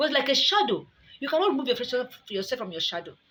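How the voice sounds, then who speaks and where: A woman's high voice at a very fast pace, with very wide pitch swings and noticeable background noise. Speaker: speaker on spiritual matters. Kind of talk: informal preaching style. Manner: fast talker.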